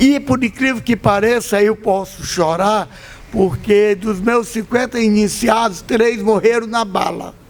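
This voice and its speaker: Over noticeable background noise, a man talks at a high pitch with fairly even intonation. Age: 60s. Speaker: Afro-Brazilian religious leader. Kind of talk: panel talk. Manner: impassioned.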